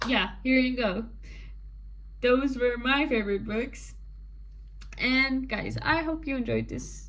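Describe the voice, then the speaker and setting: A woman with a non-native accent at a fairly slow pace, audible room echo and noticeable background noise. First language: not English. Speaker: book vlogger. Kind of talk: casual chat. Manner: rambling with fillers.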